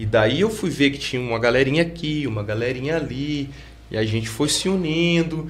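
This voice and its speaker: The man's moderately paced speech, with ordinary pitch variation, has audible room echo. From Pouso Alegre, Minas Gerais, Brazil. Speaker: graffiti artist and hip hop veteran. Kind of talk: interview conversation.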